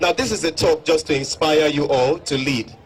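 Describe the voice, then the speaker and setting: Against crowd noise in the background, a man speaks in an upbeat tone at a fairly high pitch with ordinary pitch variation. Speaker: motivational speaker. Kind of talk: motivational stage speech to an audience. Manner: upbeat, addressing a crowd.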